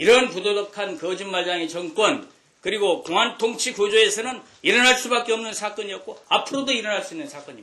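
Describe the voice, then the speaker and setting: A man speaks in a high, raised and projected voice with an animated tone, his loudness swinging widely. His pace is fairly quick and his pitch varies in an ordinary way. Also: hardly any pauses. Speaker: politician. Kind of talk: political speech. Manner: fast.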